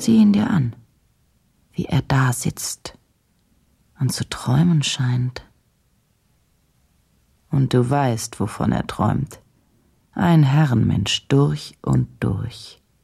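A put-on character voice moves at a slow pace, dark and mellow with a husky, rough edge and vocal fry. Long pauses come frequently. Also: woman, extremely low pitch for a woman, lively intonation.

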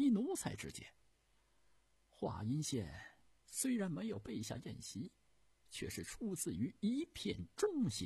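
A man puts on a character voice, pitched high, with a dark, mellow tone, a husky, rough edge and vocal fry. He moves at a fairly slow pace, with very wide pitch swings and long, frequent pauses.

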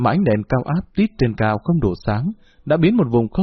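Someone is reading. It is plain reading aloud.

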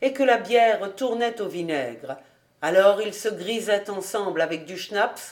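Natural read-aloud delivery, pitch moving in an ordinary way.

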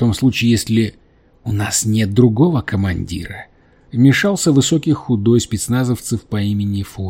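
The pitch variation is ordinary as this person reads aloud in a natural voice.

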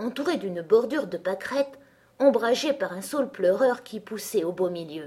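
The plain reading aloud has lively intonation.

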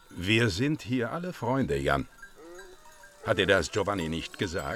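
Putting on a character voice, a man speaks low in pitch with a fairly bright tone, big pitch swings and a fairly slow pace.

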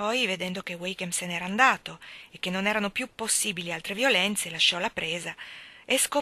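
The voice is a natural reading voice. It reads in that natural way from start to finish.

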